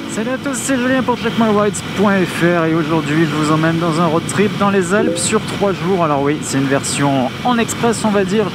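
Speech runs at a moderate pace with hardly any pauses, in a dry recording with no echo but loud background noise. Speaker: motorcycle vlogger. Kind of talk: casual vlog chat. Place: motorbike.

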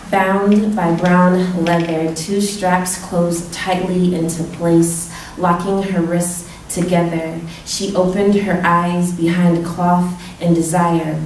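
Speaking very slowly, a woman uses a fairly low voice with monotone, flat intonation. Audible room echo and light background noise surround her. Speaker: poet. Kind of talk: poem performed at a reading, intimate and confessional spoken-word delivery. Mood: intimate, measured. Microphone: podium.

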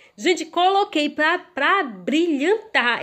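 Lively intonation and an animated tone mark this woman's speech. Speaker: cake decorator and video host. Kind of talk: tutorial. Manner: fast.

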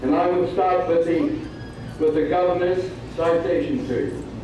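The recording carries noticeable background noise and strong room echo. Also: man. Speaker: presenter at a birthday ceremony. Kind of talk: ceremonial reading of an official citation. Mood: ceremonial and warm. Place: hall.

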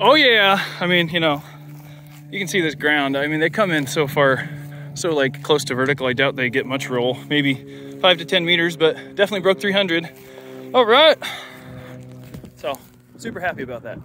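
Pausing long and often, a man speaks at a moderate pace in a dry sound with no echo, with faint music in the background. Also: ordinary pitch variation. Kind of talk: casual vlog chat. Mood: pleased, relaxed. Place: open country. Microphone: phone near.

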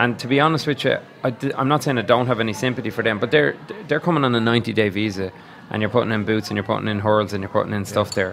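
Light background noise sits under a man talking at a very fast pace. His pitch is medium, and he speaks with an Irish accent. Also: ordinary pitch variation. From Ireland. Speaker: podcast co-host. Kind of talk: casual chat. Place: bar. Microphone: studio mic.

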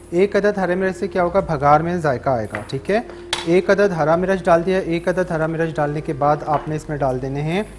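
Against noticeable background noise, a man speaks at a moderate pace in a high pitch, with ordinary pitch variation and hardly any pauses. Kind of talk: tutorial. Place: studio. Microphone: lapel.

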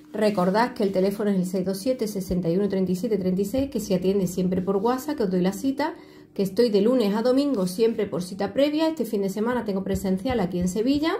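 A woman talks with hardly any pauses. She keeps a moderate pace and ordinary pitch variation. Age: 50s. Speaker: tarot reader. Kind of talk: video tutorial with self-promotion. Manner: animated. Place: home room. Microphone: phone near.

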